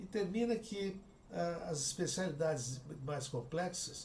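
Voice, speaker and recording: Lively intonation marks this man's speech. The recording carries audible room echo and noticeable background noise. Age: 70s. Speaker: cardiac surgeon and professor. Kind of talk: interview conversation.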